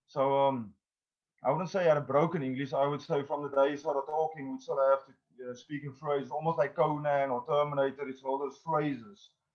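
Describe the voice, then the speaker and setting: A man with a non-native accent, very fast and monotone, with flat intonation. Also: fairly high pitch for a man, big swings in loudness. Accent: foreign accent when speaking English. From South Africa. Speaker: actor and independent filmmaker. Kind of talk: interview. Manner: hesitant, many fillers.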